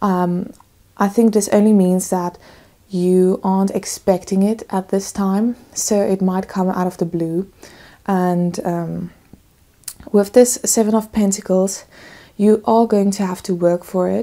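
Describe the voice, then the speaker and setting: Fairly slow and fairly even in intonation, a woman speaks at medium pitch. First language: not English. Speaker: tarot reader. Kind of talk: tarot reading to camera.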